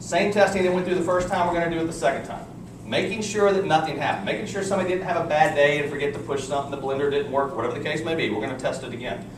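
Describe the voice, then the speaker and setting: Talking at a very fast pace in a Texan accent, a man shows ordinary pitch variation amid noticeable background noise and audible room echo. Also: fairly high pitch for a man. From Texas. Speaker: company executive giving product presentation. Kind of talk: sales presentation to live audience. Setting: room with live audience. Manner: animated.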